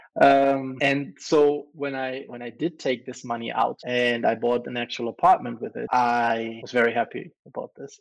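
With a German accent, a man speaks at a medium pitch and a moderate pace, with hardly any pauses. His intonation is fairly even, his loudness shows big swings, and the background is quiet. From Germany. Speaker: crypto entrepreneur. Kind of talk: casual interview.

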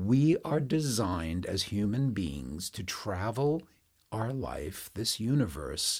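In a very clean recording with a silent background, a man speaks very slowly at a medium pitch, somewhat breathy, with very wide pitch swings. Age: 70s. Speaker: yoga and meditation teacher. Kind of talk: casual conversational teaching.

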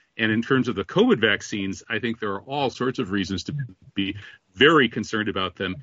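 This man has a normal speaking voice with a fairly low pitch. He talks at a fairly quick pace with ordinary pitch variation. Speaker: radio host. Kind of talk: radio interview, combative banter. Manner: sarcastic, joking.

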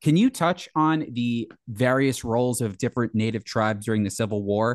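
A man with an American accent and an unremarkable speaking voice, medium in pitch with ordinary pitch variation, at a fairly quick pace, in a dry, close sound with no echo over a quiet background. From New Jersey. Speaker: podcast host. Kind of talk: casual interview.

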